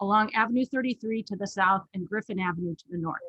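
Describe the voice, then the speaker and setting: A woman's bright, sharp tone comes through in a dry, close sound with no echo. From Los Angeles, California. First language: not English. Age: middle-aged. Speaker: professor and council candidate. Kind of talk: prepared candidate statement. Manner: formal.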